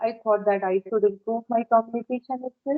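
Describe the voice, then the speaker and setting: With music in the background, a woman speaks in an Indian accent at a fairly high pitch. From India, Uttar Pradesh. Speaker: homemaker practicing English conversation. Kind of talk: casual conversation practice.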